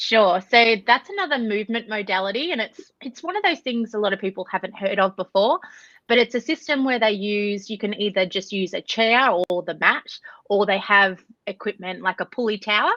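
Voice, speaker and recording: A woman with an Australian accent talks at a fairly quick pace in a bright, sharp tone. Her medium pitch shows ordinary variation, and the sound is dry and close with no echo. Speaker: Pilates instructor and nutritionist. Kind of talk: podcast interview.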